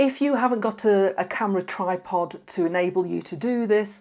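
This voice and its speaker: At a moderate pace, a woman with a normal speaking voice talks at medium pitch in a very clean recording with a silent background. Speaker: image consultant. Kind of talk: tutorial.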